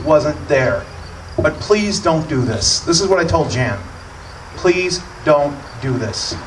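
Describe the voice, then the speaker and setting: Animated and lively in intonation, a man speaks at a fairly slow pace with fairly high pitch. Room echo is audible, along with noticeable background noise. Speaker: radio host. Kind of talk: political speech.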